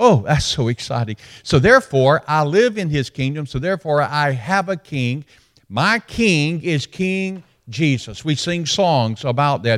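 A man with a slight Alabama accent speaks fairly slowly in a fairly high voice with lively intonation. The recording is very clean with a silent background and a dry, close sound with no echo. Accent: slight Southern US (Alabama). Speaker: retired pastor, guest preacher. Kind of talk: sermon. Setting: church worship service.

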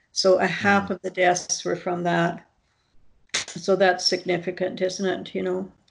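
A woman with a Canadian accent speaks in a flat monotone with vocal fry against a quiet background. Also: medium pitch for a woman. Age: 60s. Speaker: nursing professor. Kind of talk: interview. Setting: video call. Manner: halting.

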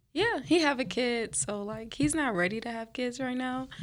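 At a moderate pace, a woman with an American accent speaks with lively intonation. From New Orleans. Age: 20s. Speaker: nursing student. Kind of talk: casual chat.

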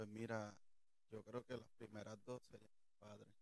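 A man of medium pitch in a Puerto Rican accent. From Puerto Rico, Toa Alta. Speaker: church usher. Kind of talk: testimony interview.

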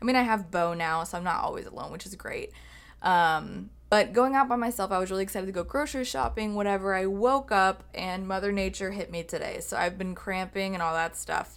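The speaker talks with hardly any pauses and ordinary pitch variation on a very clean recording with a silent background. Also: woman, medium pitch for a woman, fairly quick pace. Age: 20s. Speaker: podcast host. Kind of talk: solo monologue podcast. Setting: home office recording with video. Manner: casual, filler-heavy.

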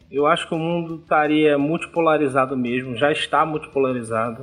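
This is an ordinary speaking voice. It moves along at a fairly quick pace. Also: man. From Brazil, Rio de Janeiro. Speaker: geography teacher, podcast co-host. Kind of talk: casual discussion podcast.

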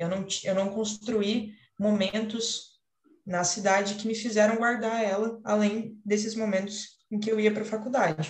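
At a fairly slow pace, a woman speaks somewhat breathily at a fairly high pitch, with audible room echo. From São Paulo state, Paraíba Valley (Caçapava). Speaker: architecture student. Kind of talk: student podcast presentation. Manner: hesitant, many fillers.

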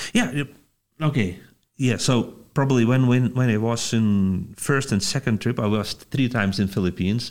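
A man with a Lithuanian accent on a very clean recording against a silent background. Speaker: pastor. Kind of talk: interview. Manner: halting.

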